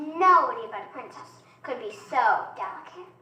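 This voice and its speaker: An extremely high-pitched, put-on character voice talks at a moderate pace. A slight echo is audible. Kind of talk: bedtime story. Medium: stage play.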